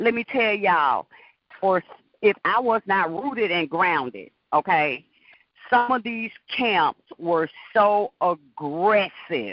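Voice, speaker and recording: Very slowly, a woman speaks with lively intonation and long, frequent pauses. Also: medium pitch for a woman. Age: 50s. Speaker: caller. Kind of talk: casual chat.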